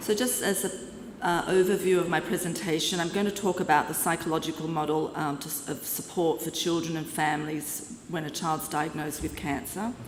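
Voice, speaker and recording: A woman with an Australian accent speaks at a moderate pace and fairly low pitch with fairly even intonation, over noticeable background noise and audible room echo. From Australia, Sydney. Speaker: clinical psychologist. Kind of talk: conference lecture. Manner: halting, with fillers.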